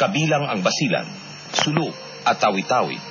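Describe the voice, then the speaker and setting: A man talks at a moderate pace with very wide pitch swings. There is noticeable background noise. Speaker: radio news announcer. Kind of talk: radio news report.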